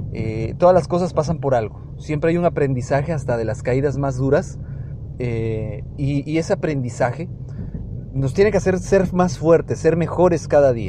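This man talks at a fairly high pitch with ordinary pitch variation. His pace is moderate, and there is noticeable background noise. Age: 30s. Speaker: podcast host. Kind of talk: personal monologue. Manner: halting, with many fillers.

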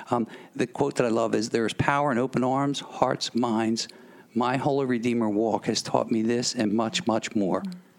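A man speaks in a plain, everyday voice with an American accent, at medium pitch and a moderate pace, his intonation fairly even and his loudness very even. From Philadelphia. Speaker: radio host. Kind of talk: radio interview.

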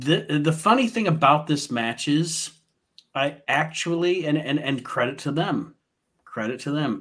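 At a fairly slow pace, a man talks in an ordinary speaking voice with fairly high pitch. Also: ordinary pitch variation. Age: 40s. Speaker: wrestling podcast host. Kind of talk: casual chat.

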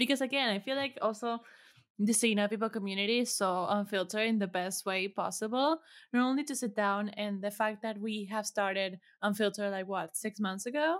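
A woman speaks at a fairly quick pace with a non-native accent, her fairly high pitch moving with ordinary variation. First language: not English. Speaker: podcast producer. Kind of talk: casual interview.

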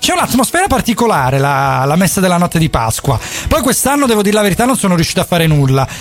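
An animated, high-pitched man at a very fast pace amid noticeable background noise. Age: 30s. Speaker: radio host. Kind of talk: casual radio chat. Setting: radio studio, live broadcast.

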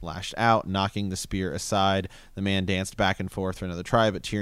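Someone reads aloud in a natural voice.

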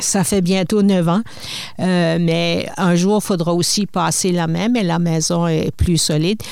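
A woman with an unremarkable speaking voice, medium in pitch, with ordinary pitch variation. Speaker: retired broadcasting executive, publisher. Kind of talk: interview. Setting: studio.

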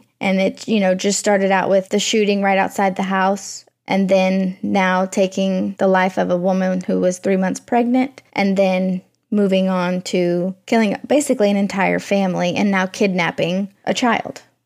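Using a plain, everyday voice, a woman talks at a moderate pace and a medium pitch with hardly any pauses. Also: very even loudness. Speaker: true crime podcast co-host. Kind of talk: casual chat, reacting to the story. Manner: conversational, upbeat.

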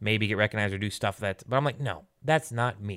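Recorded very cleanly over a silent background, a man with an ordinary speaking voice speaks at a fairly low pitch with lively intonation. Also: dry, close sound with no echo. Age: 30s. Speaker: podcast co-host. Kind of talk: casual chat.

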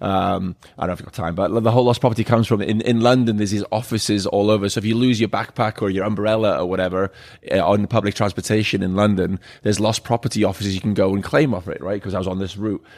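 In a very clean recording with a silent background, a man with a Welsh accent speaks very fast, his fairly low voice following a fairly even intonation. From Wales. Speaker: bar owner. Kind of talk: casual chat. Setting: bar.

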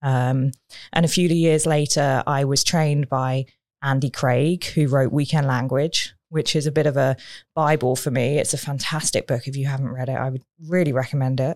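A woman speaks in a British accent with a very deep, low pitch and monotone, flat intonation. The recording is very clean, with a silent background. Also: moderate pace. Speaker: communications coach and speaker. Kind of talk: interview, conversational. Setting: studio.

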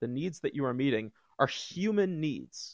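This man has a plain, everyday voice with ordinary pitch variation. The background is quiet, and the sound is dry and close with no echo. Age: 30s. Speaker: psychotherapist. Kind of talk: casual chat.

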